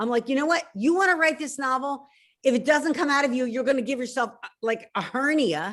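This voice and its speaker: A woman with a Philadelphia accent, high-pitched, at a fairly quick pace, with ordinary pitch variation. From Philadelphia, US. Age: 60s. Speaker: novelist. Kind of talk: interview.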